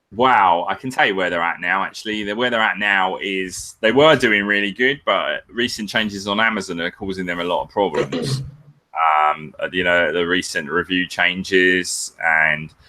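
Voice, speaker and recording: A man with a British accent speaks at a moderate pace with hardly any pauses, using a fairly low pitch and ordinary pitch variation. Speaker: Amazon seller and business consultant. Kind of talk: webinar interview. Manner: casual, filler-heavy.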